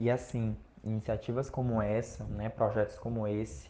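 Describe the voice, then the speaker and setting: A man's plain, everyday voice, medium in pitch, at a fairly slow pace. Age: 20s. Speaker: university student. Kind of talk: podcast interview.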